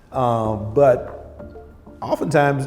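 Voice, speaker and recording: A man with an American accent speaks while music plays behind him. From southern Missouri, USA. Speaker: heart surgeon. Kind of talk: interview answer.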